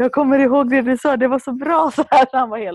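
Speech comes at a fairly quick pace against a quiet background. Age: 30s. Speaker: leadership coach and podcast co-host. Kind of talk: casual chat.

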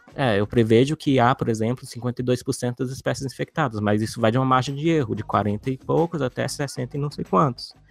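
Dry, close sound with no echo, ordinary pitch variation, and a moderate pace over music in the background. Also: man, medium pitch for a man. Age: 30s. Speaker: geneticist and biologist. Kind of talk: casual chat.

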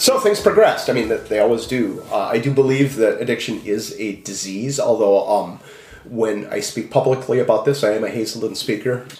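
A man with an American accent at a fairly quick pace, with noticeable background noise. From Minnesota. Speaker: author and former pastor. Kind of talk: interview testimony. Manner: halting, many fillers.

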